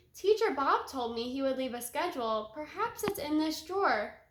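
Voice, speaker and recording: Pitched high, a woman performs a put-on character voice. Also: moderate pace. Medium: read story. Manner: calm, knowing.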